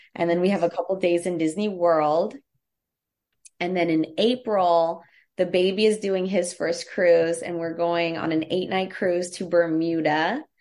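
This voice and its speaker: A woman speaks at a fairly slow pace with an American accent and fairly low pitch. Hers is an unremarkable speaking voice. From United States. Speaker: travel agent. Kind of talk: casual chat.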